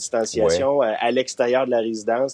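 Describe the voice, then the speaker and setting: In a dark, mellow tone, a man talks at medium pitch and a moderate pace, the sound dry and close with no echo. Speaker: residence deputy director. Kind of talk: interview answer.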